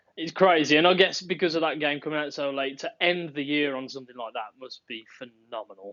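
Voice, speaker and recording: A man with a Birmingham accent talks at a fairly quick pace with hardly any pauses, his fairly high voice showing ordinary pitch variation and big swings in loudness. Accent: Birmingham twang. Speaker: podcast host. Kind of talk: casual chat.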